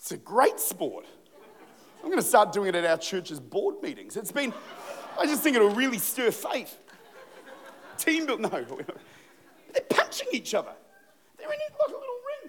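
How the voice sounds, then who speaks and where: An animated man with an Australian accent at a moderate pace, long and frequent pauses, big swings in loudness, and noticeable background noise. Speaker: pastor. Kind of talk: sermon. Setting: church.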